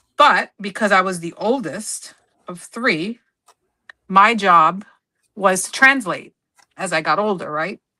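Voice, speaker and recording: Speaking at a fairly slow pace with long, frequent pauses, a woman uses a medium pitch with ordinary variation, a bright, sharp tone and big swings in loudness. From United States, Spanish-speaking immigrant family. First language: Spanish. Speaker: scrapbooking livestream host. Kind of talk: casual chat. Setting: livestream.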